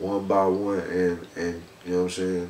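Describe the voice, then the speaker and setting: At a moderate pace, a man is talking. Background noise is noticeable, and the room adds an audible echo. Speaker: rap artist. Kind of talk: casual interview.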